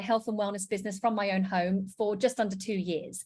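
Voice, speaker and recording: In a very clean recording with a silent background, a woman with a British accent talks at medium pitch with fairly even intonation. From UK. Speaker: network marketing presenter. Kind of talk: sales pitch.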